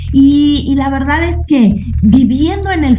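Female speech amid clear background noise and audible room echo. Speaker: radio host. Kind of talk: casual chat.

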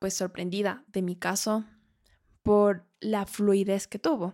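Dry and close with no echo, a woman's dark, mellow tone comes through at a fairly slow pace. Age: 20s. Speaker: podcast host, architect. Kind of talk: personal testimony monologue. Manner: warm, conversational.

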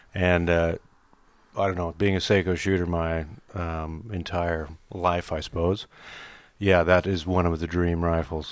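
A man's very deep, low voice, monotone and flat, at a fairly slow pace with long, frequent pauses, on a very clean recording with a silent background. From US, raised in Australia from age eight. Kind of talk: casual chat.

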